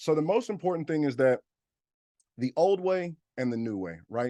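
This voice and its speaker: A man speaks with lively intonation in a dark, mellow tone. The recording is dry and close with no echo, and the background is quiet. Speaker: business funding educator. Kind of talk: webinar presentation. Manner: fast; loud.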